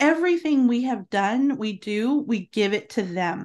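Speaking at a fairly slow pace, a woman with an unremarkable speaking voice and fairly high pitch is heard against a quiet background. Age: 50s. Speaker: homemaking podcaster and homeschooling mother. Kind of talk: podcast interview.

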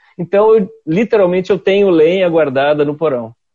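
Over a quiet background, a man with a dark, mellow tone talks at a fairly quick pace with lively intonation. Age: 50s. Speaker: communication scholar and public speaker. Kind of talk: casual interview chat. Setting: video call.

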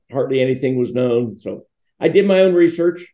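The voice carries a dark, mellow tone with an American accent. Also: man. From Pittsburgh area, Pennsylvania, US. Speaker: religious foundation founder. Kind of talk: interview.

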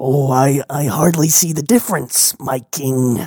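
A raspy put-on character voice at a low-to-middle pitch. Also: fairly slow pace. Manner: formal, pedantic, solemn.

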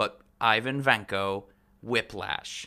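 This man's voice has a bright, sharp tone. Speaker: podcast host. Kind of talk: casual chat.

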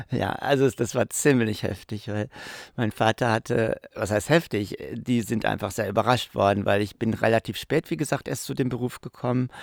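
A man talks at a moderate pace in an unremarkable speaking voice, with medium pitch and ordinary pitch variation. The sound is dry and close with no echo, on a very clean recording with a silent background. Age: 60s. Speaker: professional clown. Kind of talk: interview.

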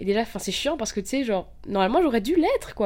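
A woman is speaking. Her intonation is lively. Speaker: podcaster. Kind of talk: personal monologue. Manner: casual, hesitant. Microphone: poor mic, interference.

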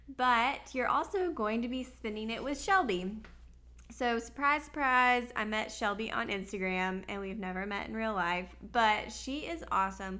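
Bright and sharp in tone, a woman's fairly high voice carries lively intonation at a moderate pace, with audible room echo. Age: 20s. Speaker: podcast host. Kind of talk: casual chat. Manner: animated.

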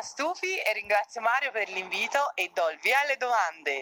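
Someone with a Tuscan accent talks at a fairly quick pace with very wide pitch swings. Noticeable background noise runs underneath. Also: woman. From Tuscany, province of Florence (Figline Valdarno). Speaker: professional volleyball player. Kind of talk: interview.

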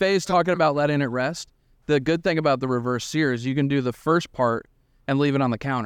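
Against a quiet background, a man with an American accent speaks at a fairly quick pace in a normal speaking voice, his pitch fairly high with ordinary variation. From New York. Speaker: grilling cookbook author and TV cook. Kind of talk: casual chat.

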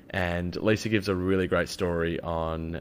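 A man's very deep, low pitch with ordinary pitch variation. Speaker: podcast host and systemic designer. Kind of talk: interview. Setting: guest's home in Jakarta. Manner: casual.

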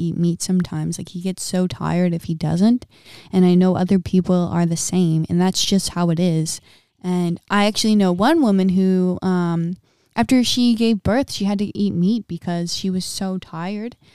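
A dark, mellow tone at a moderate pace, fairly even intonation, and a dry, close sound with no echo. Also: woman. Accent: American. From US Midwest. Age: 20s. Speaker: podcast host and wellness coach. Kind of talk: casual monologue.

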